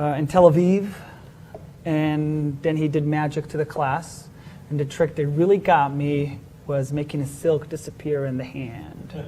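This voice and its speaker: A man with an Israeli accent talks fairly slowly in a fairly high pitch, his intonation monotone and flat. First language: Hebrew. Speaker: magician. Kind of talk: interview. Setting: live-streamed show. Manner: hesitant with fillers.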